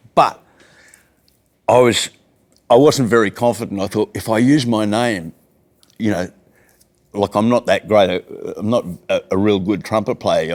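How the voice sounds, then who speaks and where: At a moderate pace, a man talks in an Australian accent. His pitch sits fairly low. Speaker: jazz musician. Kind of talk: casual chat. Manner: animated.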